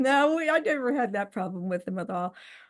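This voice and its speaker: Against a quiet background, a woman is speaking. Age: 60s. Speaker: interview guest, widow. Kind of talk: casual interview, personal testimony. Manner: hesitant, with many filler words.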